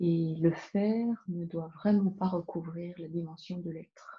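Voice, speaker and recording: A woman speaks soft-spoken and somewhat breathy at a medium pitch. She goes at a very slow pace. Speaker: spiritual card reader. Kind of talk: spiritual card reading talk.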